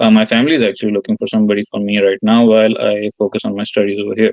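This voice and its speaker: A man talks at a very fast pace. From Pakistan. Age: 20s. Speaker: caller, student. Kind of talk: casual chat. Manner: halting, many fillers and restarts.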